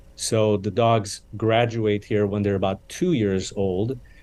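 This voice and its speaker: In a Romanian accent, a man speaks at a very slow pace with a fairly low pitch. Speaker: charity CEO. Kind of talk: interview. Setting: podcast interview.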